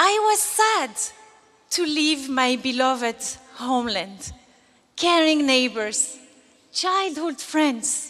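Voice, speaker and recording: A raised, projected voice speaks at a very slow pace with very wide pitch swings. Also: woman. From Algeria. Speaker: graduating student giving commencement speech. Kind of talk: graduation speech, earnest and polished, delivered to an audience. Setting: stage with audience. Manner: formal. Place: stage. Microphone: podium.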